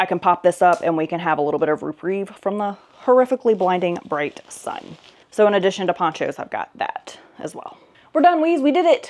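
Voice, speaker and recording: A woman at a medium pitch with lively intonation and a fairly quick pace. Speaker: lifestyle vlogger. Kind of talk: casual packing vlog. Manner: fast.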